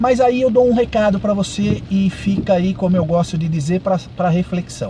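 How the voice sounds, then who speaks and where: With music playing in the background, a man speaks at a moderate pace in a high voice with ordinary pitch variation. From Brazil, São Paulo. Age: 60s. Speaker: ride-hailing driver and vlogger. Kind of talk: monologue vlog commentary. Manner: halting, many fillers.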